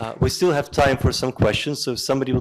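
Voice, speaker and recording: A man with a Russian accent at a fairly quick pace, with ordinary pitch variation. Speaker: lecture moderator. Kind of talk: closing remarks at a lecture.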